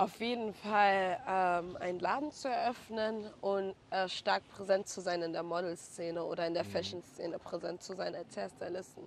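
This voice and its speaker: A woman with an ordinary speaking voice, medium pitch, moderate pace, fairly even intonation and hardly any pauses. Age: 20s. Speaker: hairstylist. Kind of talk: casual interview.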